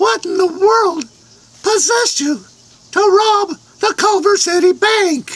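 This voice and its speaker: In a put-on character voice with an extremely high pitch, the speaker leaves long, frequent pauses. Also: fairly slow pace. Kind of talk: comic overacting. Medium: comedy sketch. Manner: folksy, bossy.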